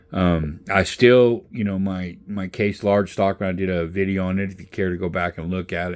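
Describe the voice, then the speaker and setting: This man has a very deep, low pitch and speaks at a moderate pace. The recording is very clean, with a silent background. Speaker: knife reviewer. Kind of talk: casual product review. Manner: casual, hesitant with many fillers.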